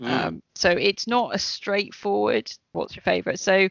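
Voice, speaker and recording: A woman talks at a moderate pace in an ordinary speaking voice of medium pitch. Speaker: podcast co-host. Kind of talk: casual interview chat.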